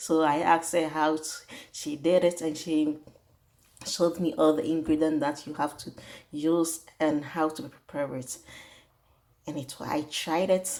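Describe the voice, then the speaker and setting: A woman with a very deep, low pitch, flat monotone intonation, big swings in loudness, a fairly slow pace and long, frequent pauses. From Ghana. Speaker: home cook. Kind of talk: cooking tutorial. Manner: halting.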